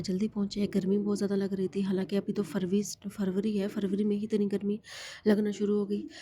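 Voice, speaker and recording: A woman speaks at a moderate pace in a medium pitch, her tone dark and mellow. Her voice is somewhat breathy and her intonation monotone and flat. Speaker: vlogger. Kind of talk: vlog narration. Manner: rambling, repetitive.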